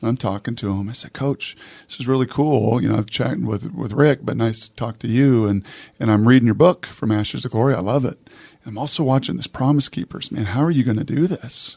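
A man with an American accent, medium pitch, a dark, mellow tone and big swings in loudness. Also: ordinary pitch variation. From Washington State (Puyallup). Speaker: podcast host. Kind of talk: interview; scripted intro.

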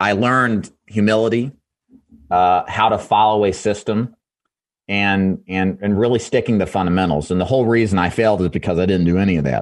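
Against a quiet background, a man talks at a fairly quick pace with an unremarkable speaking voice. His pitch is fairly low and his intonation fairly even. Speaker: insurance sales trainer. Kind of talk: radio interview.

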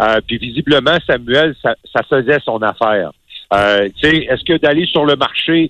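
Using a plain, everyday voice, this man talks at a medium tempo, his fairly high pitch moving up and down a normal amount. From Quebec City, Quebec. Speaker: hockey analyst. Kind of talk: casual chat.

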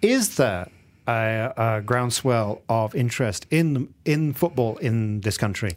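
A man with a southern English accent, medium pitch and a very slow pace. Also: ordinary pitch variation. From England. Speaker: radio football show host. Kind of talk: casual chat. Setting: studio.

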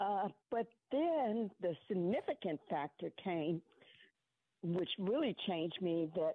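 This woman has a fairly low pitch and a plain, everyday voice, talking at a fairly slow pace. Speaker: caller. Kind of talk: radio call-in conversation. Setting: phone call.

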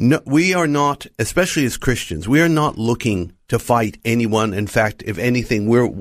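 An unremarkable speaking voice from a man, medium in pitch, with ordinary pitch variation, a moderate pace and a very clean recording over a silent background. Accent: American. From United States. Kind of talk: radio interview. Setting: studio.

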